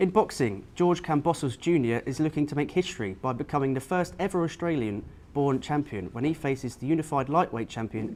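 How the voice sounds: With lively intonation and a slightly mellow tone, a man talks at a fairly quick pace and a fairly high pitch.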